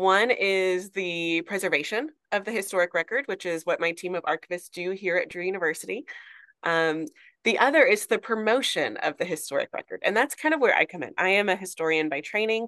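With an American accent, a woman in an unremarkable speaking voice at medium pitch speaks at a fairly quick pace with lively intonation, in a dry, close sound with no echo and a quiet background. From Arkansas, US South. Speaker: church historian and archivist, former professor. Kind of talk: casual interview chat.

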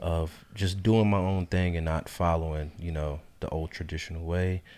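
In a very clean recording with a silent background, a man speaks fairly slowly at a very deep, low pitch, his intonation monotone and flat. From North Carolina (born in New York). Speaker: podcast co-host, home remodeling entrepreneur. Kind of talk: casual chat.

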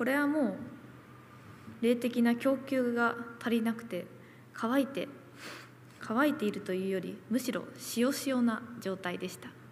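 Amid noticeable background noise, a woman speaks at a high pitch and a fairly slow pace, with long, frequent pauses and big swings in loudness. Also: ordinary pitch variation. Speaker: nurse. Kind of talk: testimony.

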